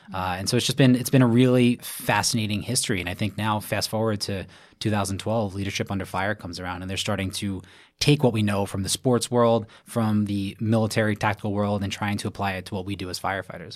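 Very fast and fairly low, a man with a New York accent talks with fairly even intonation in a very clean recording with a silent background. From Brooklyn, New York. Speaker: firefighter and triathlon coach. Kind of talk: interview.

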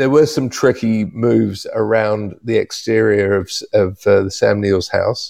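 A man talks at a moderate pace with a New Zealand accent. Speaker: cinematographer. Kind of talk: interview.

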